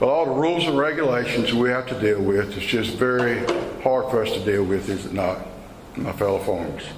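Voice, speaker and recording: Speaking at a fairly quick pace with an American accent, a man talks at a medium pitch with ordinary pitch variation, amid noticeable background noise and audible room echo. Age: 70s. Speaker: tobacco farmer. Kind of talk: speech to a farm group meeting. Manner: emotional.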